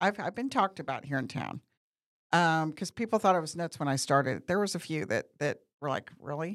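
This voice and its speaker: A woman with an American accent speaks at a fairly quick pace in an ordinary speaking voice, pitched fairly low. Her intonation is lively, and the recording is very clean with a silent background. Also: dry, close sound with no echo. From Missouri. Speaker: media company owner and talk show host. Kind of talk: casual chat.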